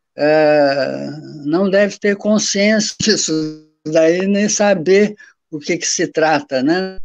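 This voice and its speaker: A man's high-pitched voice at a very slow pace, ordinary pitch variation, over a quiet background. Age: 70s. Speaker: professor. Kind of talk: panel talk.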